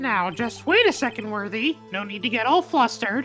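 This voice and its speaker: Over clear music in the background, a female-sounding voice does a put-on character voice at a fairly high pitch and a moderate pace. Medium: game stream. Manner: smug, condescending.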